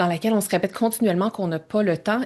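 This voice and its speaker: With a Quebec accent, a woman talks in fairly even intonation. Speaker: entrepreneur and time-management coach. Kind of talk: podcast interview.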